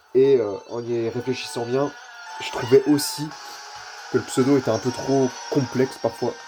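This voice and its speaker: Fairly slow speech with long, frequent pauses and noticeable background noise. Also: man, medium pitch for a man, ordinary pitch variation. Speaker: gaming YouTuber. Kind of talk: gameplay commentary. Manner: casual, hesitant with fillers.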